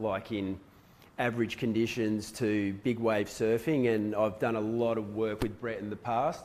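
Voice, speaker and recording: The speaker is a man with an Australian accent. His intonation is fairly even. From Western Australia. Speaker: surf photographer. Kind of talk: presentation to a live audience. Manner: casual.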